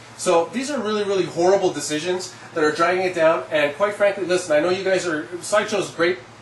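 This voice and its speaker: Over noticeable background noise, the speech runs at a very fast pace with hardly any pauses and ordinary pitch variation. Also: man, high pitch for a man. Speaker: collectibles reviewer. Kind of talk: product review monologue. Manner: animated.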